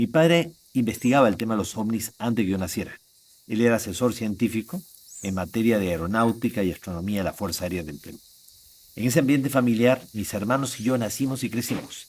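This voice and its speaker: At a fairly quick pace, a man talks at a medium pitch with ordinary pitch variation. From Peru, Lima. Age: 60s. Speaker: contactee and ufology speaker. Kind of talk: interview testimony. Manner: hesitant fillers.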